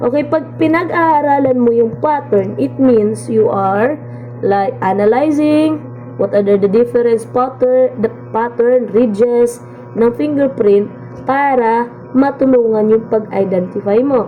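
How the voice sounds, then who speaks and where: Music plays in the background as a woman speaks fairly slowly at a fairly high pitch. Her pitch varies in an ordinary way, her loudness stays very even, and room echo is audible. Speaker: college instructor. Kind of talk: lecture. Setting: recorded video lesson.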